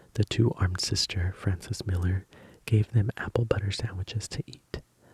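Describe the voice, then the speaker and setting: A soft-spoken man whispering, somewhat breathy, in a dry, close sound with no echo. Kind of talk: book reading, ASMR sleep story. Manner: soft-spoken, whispered.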